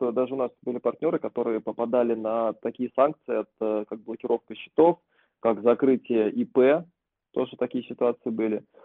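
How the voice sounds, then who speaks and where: The man's pitch is medium and his pace moderate. His intonation stays fairly even. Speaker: podcast co-host. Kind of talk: casual chat.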